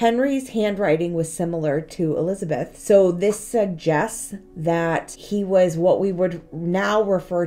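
A woman's dark, mellow voice at fairly low pitch, ordinary pitch variation and a fairly slow pace. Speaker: history vlogger. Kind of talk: casual history storytelling vlog. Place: home room. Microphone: phone near.

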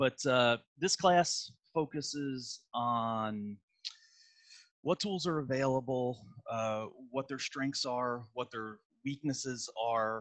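A man at a very slow pace, with long, frequent pauses, ordinary pitch variation and a quiet background. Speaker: automotive technical trainer. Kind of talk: webinar lecture. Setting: video call from home. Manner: halting, repeats words. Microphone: headset.

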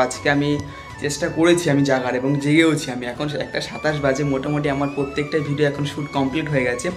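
Clear music plays behind the man as he talks. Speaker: vlogger. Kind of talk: casual vlog chat. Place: home room. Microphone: phone near.

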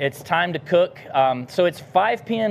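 A man speaks at a high pitch with an American accent. Light background noise sits behind him. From US South. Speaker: barbecue cook and business founder; pitmaster host. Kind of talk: cooking demonstration livestream; live cooking tutorial. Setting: outdoor kitchen. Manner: casual, many filler words. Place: garden.

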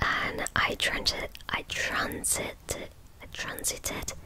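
A soft-spoken woman whispers at a very slow pace, the sound dry with no echo over light background noise. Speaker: ASMR creator. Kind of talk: soft-spoken ASMR reading chat. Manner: soft close-mic whisper, hesitant. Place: home room. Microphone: studio mic.

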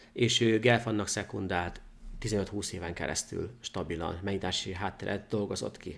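A man speaks in an ordinary speaking voice, his pitch fairly low. His intonation stays fairly even at a moderate pace. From Hungary. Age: 30s. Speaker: chess grandmaster; guest. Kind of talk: chess game analysis interview. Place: studio.

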